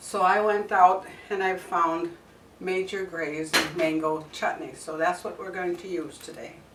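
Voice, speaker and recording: A woman speaks at medium pitch and a fairly slow pace, in a monotone, flat intonation with big swings in loudness. Audible room echo and noticeable background noise surround her. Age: 70s. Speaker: cooking channel host. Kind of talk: cooking tutorial. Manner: casual, conversational.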